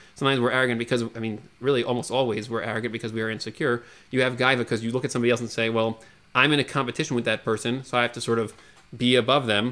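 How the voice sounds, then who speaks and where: This man has a medium pitch and a bright, sharp tone. He speaks very fast in a monotone, flat intonation. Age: 30s. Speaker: Torah teacher. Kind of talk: lecture. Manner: halting, many fillers.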